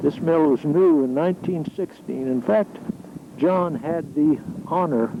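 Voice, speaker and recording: A man with a fairly high pitch and ordinary pitch variation talks against noticeable background noise. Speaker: amateur videographer, retired mill worker. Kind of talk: home video narration.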